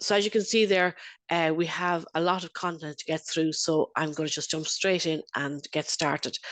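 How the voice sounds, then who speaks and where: With an Irish accent, a woman speaks at a moderate pace in a fairly low voice and fairly even intonation. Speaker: internal auditor and lecturer. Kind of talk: webinar presentation. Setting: video call.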